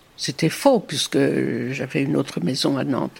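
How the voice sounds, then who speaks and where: A woman speaks with vocal fry. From Brittany, Morbihan. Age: 90s. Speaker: grandmother telling her life story. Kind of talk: testimony. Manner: halting.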